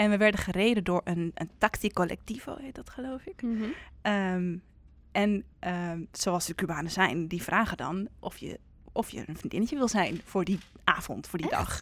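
A woman's medium-pitched voice at a moderate pace, with ordinary pitch variation and big swings in loudness, in a very clean recording with a silent background. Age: 20s. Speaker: musical theatre performer. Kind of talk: casual chat. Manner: halting.

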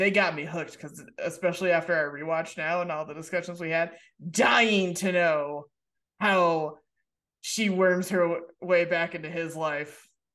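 With an unremarkable speaking voice, a woman of fairly low pitch talks at a moderate pace, her loudness swinging widely. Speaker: podcast host. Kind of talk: casual chat.

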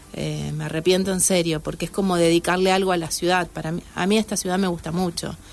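A woman at a very fast pace, fairly low-pitched, with monotone, flat intonation. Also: hardly any pauses. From Argentina, Santa Fe. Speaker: novelist. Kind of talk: casual interview. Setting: radio studio.

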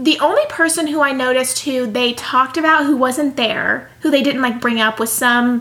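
In a raised, projected voice, a woman speaks with an animated tone and high pitch. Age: 20s. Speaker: podcast co-host. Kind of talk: casual chat. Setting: sitting on a bed with roommate present. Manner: fast.

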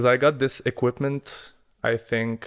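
Monotone, flat intonation sits on a very clean recording with a silent background. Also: man. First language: Arabic. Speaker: podcast co-host. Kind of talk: casual chat.

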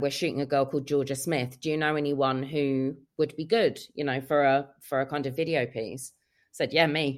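A woman's very deep, low voice with fairly even intonation. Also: moderate pace. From London, England. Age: 30s. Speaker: music video director and photographer. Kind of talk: casual interview.

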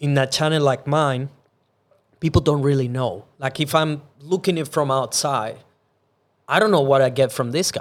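At a moderate pace, a man with a Venezuelan accent and a fairly high voice takes long, frequent pauses, his pitch varying in an ordinary way, in a very clean recording with a silent background. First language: Spanish. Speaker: podcast host. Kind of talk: casual chat.

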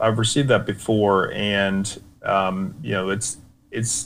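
This is a man with a plain, everyday voice and an American accent. His pitch is fairly low, with ordinary variation. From United States. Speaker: war veteran. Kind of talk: interview. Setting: video call.

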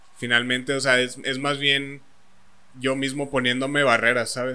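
A man speaks at a medium pitch in a bright, sharp tone, with audible room echo. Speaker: podcast co-host. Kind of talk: casual chat.

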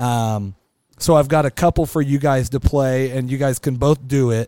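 A dark, mellow tone with an American accent, fairly even intonation and a moderate pace. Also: man. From Kansas (small town near Wichita area). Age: 40s. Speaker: podcast host. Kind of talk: casual chat.

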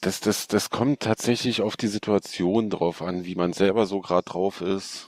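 In a normal speaking voice, a man with a fairly low pitch talks at a moderate pace, with fairly even intonation and hardly any pauses, on a very clean recording with a silent background. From Hanover, northern Germany. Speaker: cosplayer. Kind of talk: casual chat.

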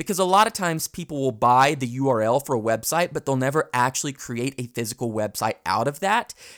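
Talking at a very fast pace with hardly any pauses, a man uses lively intonation in a very clean recording with a silent background and a dry, close sound with no echo. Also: medium pitch for a man. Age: 20s. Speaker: podcast host. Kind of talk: tutorial.

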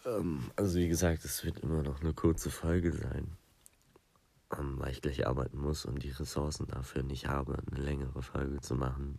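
A man's very deep, low voice with a dark, mellow tone, vocal fry, fairly even intonation and a moderate pace. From southern Germany, Lake Constance. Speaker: podcast host. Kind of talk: casual solo podcast chat. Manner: rambling, many fillers.

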